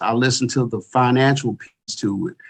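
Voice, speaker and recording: In an Arkansas accent, a man talks at a moderate pace and a medium pitch with fairly even intonation. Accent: Southern US (Arkansas). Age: 40s. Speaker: retired police chief. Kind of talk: podcast interview.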